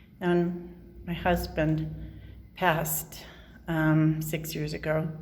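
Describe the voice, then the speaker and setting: A woman with an American accent speaks at a fairly low pitch, with audible room echo around her. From Southern California. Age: 60s. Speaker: vlogger. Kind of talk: casual video diary. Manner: halting, hesitant.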